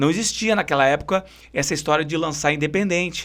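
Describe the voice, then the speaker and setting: In a very clean recording with a silent background, a man with a Porto Alegre accent talks at a fairly quick pace, his fairly high pitch showing ordinary variation. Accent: Greater Porto Alegre gaúcho. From southern Brazil, São Leopoldo (Greater Porto Alegre). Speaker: singer and bandleader. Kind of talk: interview.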